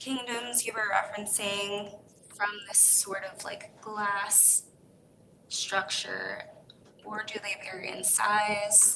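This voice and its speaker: Soft-spoken and monotone, the voice moves at a very slow pace with long, frequent pauses. Background noise is noticeable throughout. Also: woman, medium pitch for a woman. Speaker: panel discussant. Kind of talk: panel Q&A.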